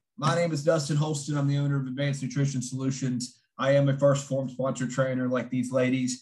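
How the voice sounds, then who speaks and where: A man with a West Virginia accent talks fairly quickly with hardly any pauses, his medium-pitched voice somewhat breathy and his intonation monotone and flat. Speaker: fitness coach and nutritionist. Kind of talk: online seminar presentation. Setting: video call.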